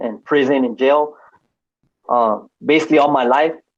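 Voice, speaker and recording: Against a quiet background, a man with an American accent speaks at a moderate pace. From East Los Angeles, California. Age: 40s. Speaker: former gang member. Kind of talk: testimony. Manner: halting, many fillers. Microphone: cutting out.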